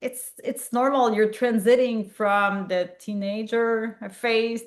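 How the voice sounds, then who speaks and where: A woman with a fairly high pitch speaks with a Quebec accent. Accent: French-Canadian accent in English. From Quebec, Montreal. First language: French. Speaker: public health physician and researcher. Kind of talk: interview conversation. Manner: halting, many fillers.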